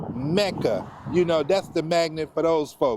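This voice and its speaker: A man speaks in a plain, everyday voice with a fairly high pitch. His pace is moderate and his intonation fairly even. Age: 60s. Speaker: community organization leader. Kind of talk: street interview. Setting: outdoors.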